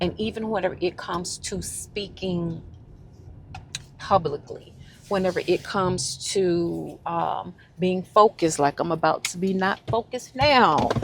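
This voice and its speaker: Speaking at a fairly slow pace, a woman with a medium pitch shows ordinary pitch variation. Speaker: lifestyle vlogger. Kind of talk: casual vlog monologue. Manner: halting, full of fillers.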